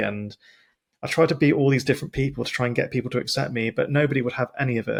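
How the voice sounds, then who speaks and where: A medium-pitched man with a British accent, very fast and fairly even in intonation, on a very clean recording with a silent background. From Britain. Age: 40s. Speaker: podcast host. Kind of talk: casual interview chat. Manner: halting, with stumbles and restarts.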